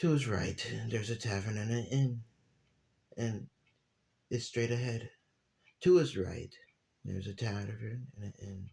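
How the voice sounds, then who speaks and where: At a fairly slow pace with long, frequent pauses, a man talks in a dark, mellow, somewhat breathy tone of medium pitch, with ordinary pitch variation and big swings in loudness. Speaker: amateur storyteller. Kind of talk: reading aloud. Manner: halting.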